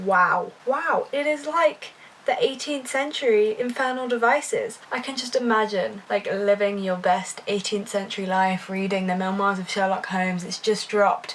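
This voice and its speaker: A British-accented woman speaks at a moderate pace with hardly any pauses. Her pitch is fairly high over noticeable background noise. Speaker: book vlogger. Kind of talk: casual vlog. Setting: at home. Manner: quiet.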